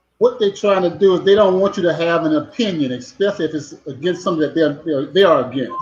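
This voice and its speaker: A man with high pitch and ordinary pitch variation, very fast pace, hardly any pauses, and music in the background. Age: 60s. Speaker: former pro football player. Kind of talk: casual chat.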